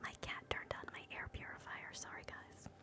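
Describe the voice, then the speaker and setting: A woman whispers. Noticeable background noise can be heard. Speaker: ASMR creator, live streamer. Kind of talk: ASMR whispered relaxation. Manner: whispered, soft-spoken.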